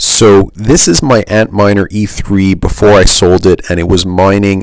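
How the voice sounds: A man speaks at a fairly slow pace in a low voice.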